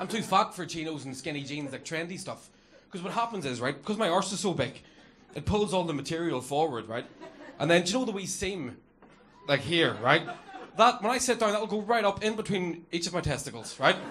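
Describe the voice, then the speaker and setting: A man with a Northern Irish accent talks at a fairly quick pace in a high pitch, with lively intonation, audible room echo and noticeable background noise. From Northern Ireland. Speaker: comedian. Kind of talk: stand-up. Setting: stage with audience.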